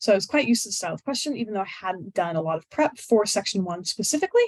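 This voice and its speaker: A woman's very fast speech with very wide pitch swings, in a dry, close sound with no echo. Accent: American. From United States. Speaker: high-scoring exam candidate giving tips. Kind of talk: webinar talk with Q&A. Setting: online webinar. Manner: casual, many fillers.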